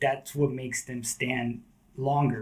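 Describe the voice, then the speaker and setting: A man with an American accent and a medium pitch speaks at a fairly slow pace. His voice is somewhat breathy, with fairly even intonation. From Southern California. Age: 40s. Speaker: skateboarder. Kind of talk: casual chat.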